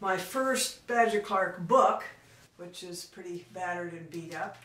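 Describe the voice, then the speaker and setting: Woman's medium-pitched voice with ordinary pitch variation against noticeable background noise. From South Dakota. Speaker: poet and writer. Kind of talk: reminiscing talk to camera.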